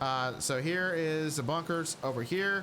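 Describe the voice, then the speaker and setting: This man has an unremarkable speaking voice, pitched fairly high. His pitch varies in an ordinary way. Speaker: gaming youtuber. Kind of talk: tutorial. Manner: casual, filler words.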